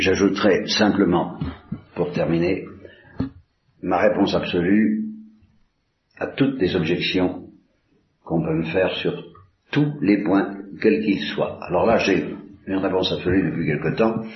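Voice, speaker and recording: A very deep, low male voice at a fairly slow pace, with long, frequent pauses, ordinary pitch variation and audible room echo. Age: old. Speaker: priest. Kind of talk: religious talk. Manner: halting.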